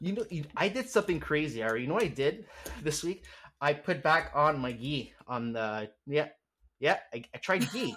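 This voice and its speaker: Captured in a very clean recording with a silent background, a man with a Canadian accent and a fairly high pitch speaks at a moderate pace in an animated, bright, sharp tone with very wide pitch swings. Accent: Canadian accent, often mistaken for New York. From Quebec, Montreal. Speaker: podcast host. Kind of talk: casual chat.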